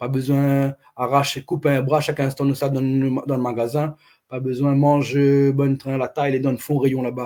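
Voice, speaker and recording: Speaking at a moderate pace, the man has a fairly high pitch and a dark, mellow tone. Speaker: activist livestream host. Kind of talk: casual livestream chat.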